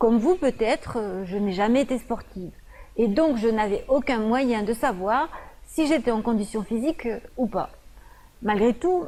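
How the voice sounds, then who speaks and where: A woman's fairly high voice, lively in intonation, at a fairly slow pace. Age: 50s. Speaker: nutritionist. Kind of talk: presentation video. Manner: hesitant, frequent fillers.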